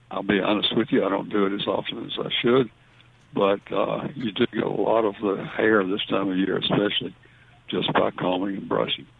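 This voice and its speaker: A man speaks with a Southern US accent at a fairly low pitch. His intonation is fairly even. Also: moderate pace. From US South. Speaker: veterinarian. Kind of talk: call-in radio show.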